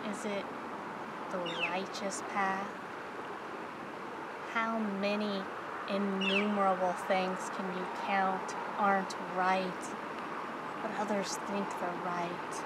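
A very slow pace with long, frequent pauses, in a dry sound with no echo over loud background noise. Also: woman. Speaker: ASMR creator. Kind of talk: ASMR soft-spoken reflective monologue. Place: waterside.

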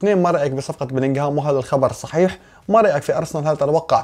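A man with a Syrian accent speaks at a very fast pace with very wide pitch swings against a quiet background. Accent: Syrian (Levantine) Arabic. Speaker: football YouTuber. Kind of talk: casual Q&A. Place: home room.

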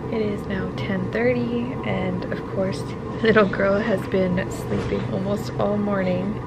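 A woman talks at a fairly slow pace over loud background noise. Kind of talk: casual vlog chat. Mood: tender, relieved. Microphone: phone near.

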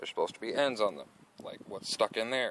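A man speaks over light background noise. The sound is dry, with no echo. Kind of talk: tutorial. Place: street. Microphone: phone near.

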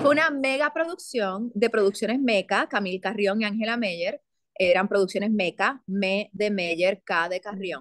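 A woman speaks at a fairly slow pace with lively intonation. The sound is dry with no echo, and the background is quiet. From Puerto Rico. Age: 40s. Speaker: actress and theatre producer; actress. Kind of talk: interview conversation. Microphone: video call.

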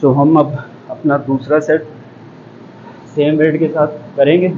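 There is light background noise. Over it, a man talks. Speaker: fitness trainer. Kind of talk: tutorial. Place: gym. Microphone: lapel.

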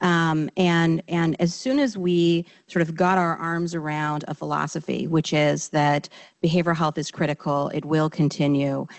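A woman speaks at a moderate pace in a very deep, low pitch. The background is quiet. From Alaska, Anchorage area (Alaska Native, Athabascan); Alaska. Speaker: healthcare executive, behavioral health. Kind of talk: webinar panel talk. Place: stage. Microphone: handheld.

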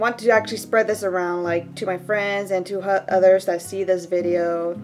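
Over music in the background, a woman of medium pitch talks at a fairly slow pace with fairly even intonation. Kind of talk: casual talk to camera. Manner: low-energy.

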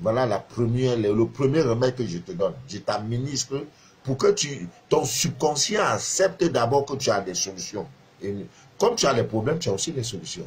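With vocal fry and lively intonation, a man speaks at a medium pitch. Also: moderate pace. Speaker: spiritual advisor and live streamer. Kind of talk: live stream monologue. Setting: Facebook live video. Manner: hesitant, many fillers. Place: home room. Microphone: phone near.

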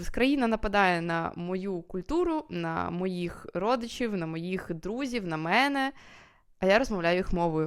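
A woman speaks at a fairly slow pace and a medium pitch, with ordinary pitch variation, on a very clean recording with a silent background. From Kyiv, Ukraine. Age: 20s. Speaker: video blogger. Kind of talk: personal vlog monologue. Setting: recorded at night at home. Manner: casual, with fillers and hesitations.

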